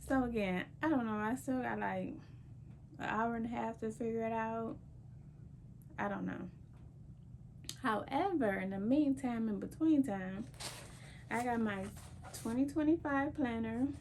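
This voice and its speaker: A woman's fairly high-pitched voice at a fairly slow pace, with long, frequent pauses and audible room echo. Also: ordinary pitch variation. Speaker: lifestyle vlogger. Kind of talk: casual vlog talk. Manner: soft-spoken.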